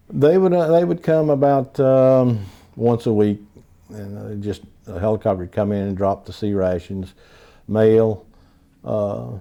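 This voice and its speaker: A man's dark, mellow voice with a Southern US accent, fairly slow pace and ordinary pitch variation. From North Carolina. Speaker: Vietnam War veteran. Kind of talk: oral history interview answer.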